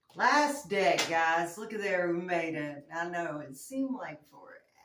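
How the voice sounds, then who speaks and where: A woman speaks in a fairly low voice with very wide pitch swings. Room echo and noticeable background noise can be heard. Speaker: tarot reader. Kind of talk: casual chat during tarot reading. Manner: shaky.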